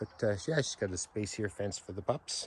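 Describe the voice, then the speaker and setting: A man with a Canadian accent speaks at a moderate pace, his somewhat breathy voice fairly low in pitch with ordinary pitch variation. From British Columbia, Canada. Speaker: realtor. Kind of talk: property walkthrough tour. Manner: casual, filler-heavy.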